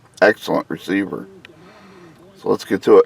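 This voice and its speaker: Dry, close sound with no echo and noticeable background noise. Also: man. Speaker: car audio reviewer. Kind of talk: tutorial. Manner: casual, hesitant.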